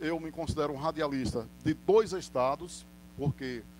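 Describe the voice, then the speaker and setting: A man speaks at a fairly high pitch with ordinary pitch variation. His is an unremarkable speaking voice. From Northeast Brazil. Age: 40s. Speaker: radio announcer and sports commentator. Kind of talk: interview answer.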